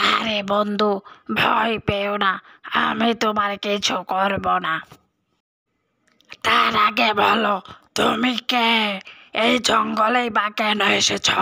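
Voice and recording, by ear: A raspy, cartoonish character voice at a fairly slow pace. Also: female-sounding voice, medium pitch for a woman.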